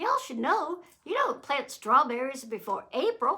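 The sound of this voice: A woman puts on a character voice in a Southern US accent. She pitches it high and keeps a moderate pace. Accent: southern American.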